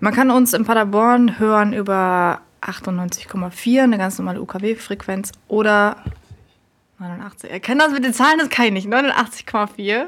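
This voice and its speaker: A woman speaks at a medium pitch. Hers is an ordinary speaking voice with ordinary pitch variation. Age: 20s. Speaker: student radio volunteer. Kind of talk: casual interview. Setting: university radio station.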